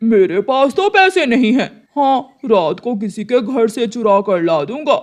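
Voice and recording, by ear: The voice is cartoonish, a character act. Its pitch is fairly high. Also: moderate pace.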